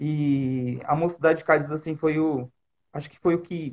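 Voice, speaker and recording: This man has a normal speaking voice, fairly high in pitch, with ordinary pitch variation. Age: 30s. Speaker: youth leader. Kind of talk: casual chat.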